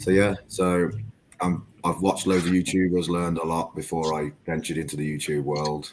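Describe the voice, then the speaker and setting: In an English accent, a man talks at a moderate pace with a very deep, low pitch and monotone, flat intonation. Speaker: eBay reseller and YouTuber. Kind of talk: casual chat.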